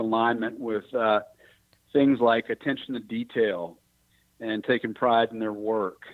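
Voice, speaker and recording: At a fairly slow pace, a man talks in a Texan accent. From Texas, Houston. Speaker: restaurant business owner. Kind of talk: radio interview. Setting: radio studio.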